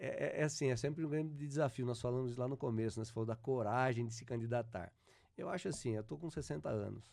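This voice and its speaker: The voice has a dark, mellow tone and ordinary pitch variation, moving at a very fast pace. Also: man, medium pitch for a man. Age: 60s. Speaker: local council candidate, former city secretary. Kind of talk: political interview. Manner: halting, many repetitions.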